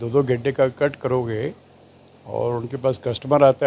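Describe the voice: This man's medium-pitched voice has a slightly mellow tone, a slightly husky edge and some vocal fry.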